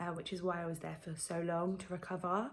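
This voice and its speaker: A woman's fairly low voice at a moderate pace, with an English accent. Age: 20s. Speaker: vlogger. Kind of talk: casual vlog. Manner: hesitant, many ums.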